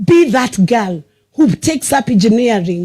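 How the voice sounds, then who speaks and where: A woman at a moderate pace in a Kenyan accent, with very wide pitch swings. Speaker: senator. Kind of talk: motivational speech. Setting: school prize-giving ceremony with audience. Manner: exhortative.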